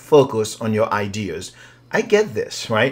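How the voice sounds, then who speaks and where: A man talks at a very slow pace. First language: not English. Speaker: writing coach. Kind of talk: software tutorial. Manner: casual, hesitant.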